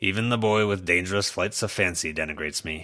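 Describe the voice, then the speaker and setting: In a put-on character voice, a man rushes at a very fast pace with a very deep, low pitch and ordinary pitch variation. The voice is rumbling and raspy. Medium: read story. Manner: grumbling, begrudging.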